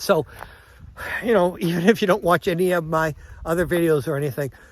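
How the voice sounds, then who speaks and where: A man's fairly quick speech at a high pitch, with ordinary pitch variation and noticeable background noise. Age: 60s. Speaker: travel vlogger, retiree. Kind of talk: casual vlog monologue. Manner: rambling, conversational.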